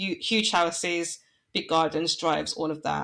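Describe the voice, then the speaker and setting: A woman with a Midlands accent, fairly low in pitch, at a moderate pace with fairly even intonation. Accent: local Midlands. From English Midlands. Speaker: branding and website designer. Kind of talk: podcast interview.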